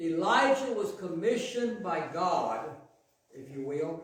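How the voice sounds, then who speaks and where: Amid audible room echo, a man with an American accent speaks at a very slow pace with lively intonation. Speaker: pastor. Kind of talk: sermon. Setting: church. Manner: loud.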